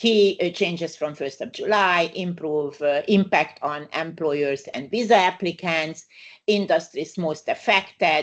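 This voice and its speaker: Speaking at a fairly slow pace, a woman uses a fairly low pitch with ordinary pitch variation and a Hungarian accent. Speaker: migration lawyer. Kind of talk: webinar presentation. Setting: online webinar. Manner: halting, many fillers.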